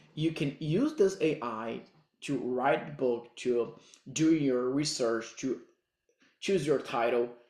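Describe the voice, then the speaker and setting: A man with a Brazilian accent, medium pitch, very slow pace. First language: Portuguese. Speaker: digital marketing coach. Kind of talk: tutorial. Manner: halting non-native phrasing.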